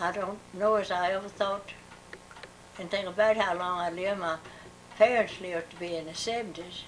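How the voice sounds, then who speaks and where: A woman with an American accent, monotone and flat, with long, frequent pauses over noticeable background noise. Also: medium pitch for a woman, moderate pace. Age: 80s+. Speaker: elderly interviewee. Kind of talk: oral history interview. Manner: halting.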